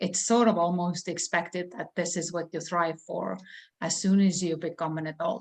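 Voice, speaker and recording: Against a quiet background, a woman with an Estonian accent speaks at a moderate pace in a fairly low pitch, her intonation fairly even. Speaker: real estate broker and trainer. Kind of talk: interview.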